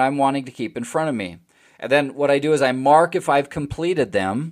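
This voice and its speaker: On a very clean recording with a silent background, a man with an ordinary speaking voice talks at a fairly quick pace, his pitch fairly high with ordinary pitch variation. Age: 40s. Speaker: podcast host and retirement planning specialist. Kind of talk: solo podcast talk. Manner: conversational with frequent fillers.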